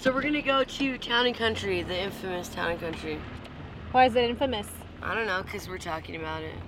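A woman with an American accent talks at a very fast pace and medium pitch with lively intonation over noticeable background noise. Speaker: former prisoner recovering from addiction. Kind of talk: casual chat. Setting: in a car. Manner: joking, loose.

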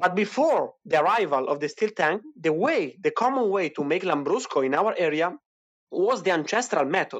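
A man with an Italian accent, high pitch, lively intonation, very even loudness and a moderate pace. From Italy, Emilia-Romagna. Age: 20s. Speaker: wine producer. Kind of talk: interview. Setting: online audio chat room.

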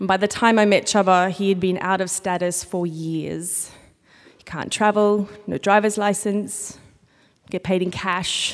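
In an Australian accent, a woman speaks at a fairly slow pace with monotone, flat intonation. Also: medium pitch for a woman. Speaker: storyteller. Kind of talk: live storytelling. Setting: stage with audience.

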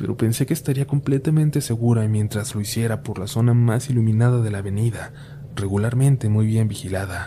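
A man with a medium pitch and ordinary pitch variation talks at a moderate pace as noticeable background noise plays on. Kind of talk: ghost story telling, scripted narration of spooky urban legends. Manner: intimate first-person confiding, as if telling a scary story to friends.

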